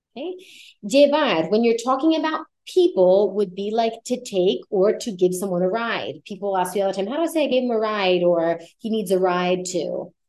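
With lively intonation and a moderate pace, a woman talks in an ordinary speaking voice. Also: medium pitch for a woman. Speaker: Spanish teacher. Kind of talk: language lesson.

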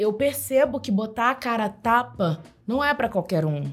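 A woman talks at a moderate pace in a somewhat breathy, fairly high voice. Her pitch swings very widely. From Baixada Fluminense, Rio de Janeiro, Brazil. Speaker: digital influencer and rapper. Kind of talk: interview conversation.

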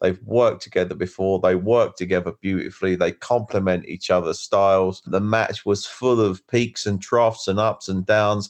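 A plain, everyday voice moves at a moderate pace with fairly even intonation and hardly any pauses against a quiet background. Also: man, fairly low pitch for a man. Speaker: podcast co-host and wrestler. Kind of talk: casual chat, show review. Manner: casual, swearing, conversational.

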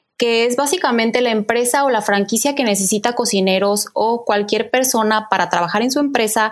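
Fairly high female voice, its pitch varying in an ordinary way. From Mexico, Guadalajara. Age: 30s. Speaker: chef. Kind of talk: casual chat. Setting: video call.

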